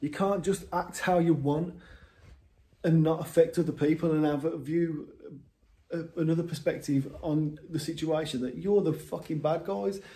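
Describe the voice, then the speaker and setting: A man with an English accent speaks in a dark, mellow tone at a fairly high pitch. His intonation is fairly even. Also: moderate pace. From England. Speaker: vlogger. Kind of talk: monologue rant. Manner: halting. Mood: frustrated, emotional. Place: home room. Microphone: phone near.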